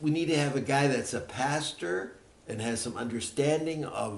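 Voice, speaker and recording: Fairly high-pitched male voice at a moderate pace, ordinary pitch variation, audible room echo. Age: 80s+. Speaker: seniors ministry pastor. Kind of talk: presentation to church leaders. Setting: meeting with church leaders.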